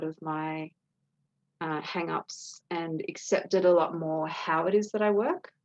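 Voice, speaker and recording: A woman with a fairly low pitch speaks at a fairly slow pace, her intonation fairly even. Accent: Australian. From Australia, New South Wales. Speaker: potter. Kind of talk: interview answer.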